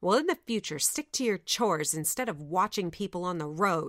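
A female-sounding voice at medium pitch does a growling, put-on character voice at a fairly quick pace. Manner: growling, scolding.

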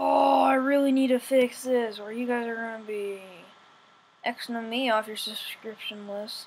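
Fairly slow speech from a fairly high-pitched woman, amid noticeable background noise. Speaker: gaming youtuber. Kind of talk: gameplay commentary. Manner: animated.

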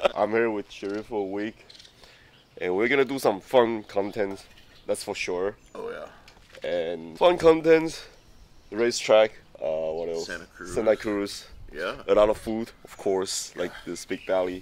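A man with a fairly low pitch uses lively intonation and big swings in loudness, the sound dry with no echo. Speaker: vlogger. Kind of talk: casual vlog chat. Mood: cheerful, laughing. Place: garden. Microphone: phone near.

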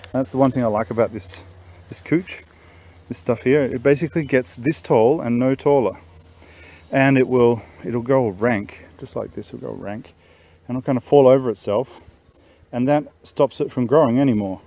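A man speaks at a moderate pace with ordinary pitch variation and long, frequent pauses. The sound is dry with no echo. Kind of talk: casual walkthrough commentary. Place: garden. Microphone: phone near.

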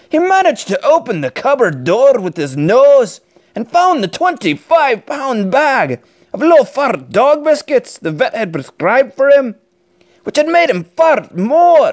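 Speaking fairly slowly in a Scottish accent, a man uses an extremely high pitch with very wide swings. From Scotland. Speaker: dad reading stories. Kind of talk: children's book read-aloud. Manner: energetic.

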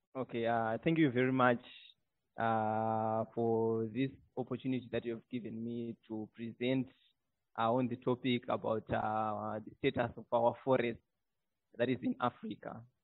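Against a quiet background, a man speaks at a moderate pace in a monotone, flat intonation. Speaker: webinar guest. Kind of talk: presentation opening. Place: office. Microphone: earbuds.

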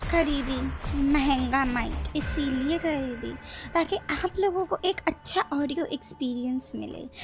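Over clear music in the background, a woman speaks at a very slow pace in a high voice with ordinary pitch variation. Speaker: gaming commentator. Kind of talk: casual gameplay commentary. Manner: excited.

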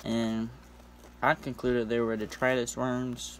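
Light background noise behind a man speaking at a fairly slow pace. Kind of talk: casual tutorial vlog. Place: home room. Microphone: phone near.

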